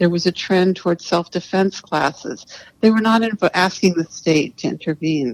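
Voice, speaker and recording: In an American accent, a woman with an ordinary speaking voice and a fairly low pitch talks at a moderate pace with ordinary pitch variation, the sound dry and close with no echo. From US, New York City. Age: 60s. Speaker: writer and activist. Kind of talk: podcast interview.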